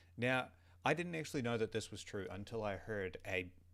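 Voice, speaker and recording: In a Southern New Zealand accent, a man speaks at a moderate pace. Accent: Southern New Zealand (Kiwi). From New Zealand, South Island (Otago/Southland). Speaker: vlogger. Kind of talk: casual monologue vlog. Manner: animated, informal with swearing and hesitations.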